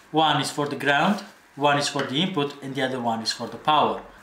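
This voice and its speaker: Ordinary pitch variation over light background noise, with audible room echo. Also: man. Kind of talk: tutorial.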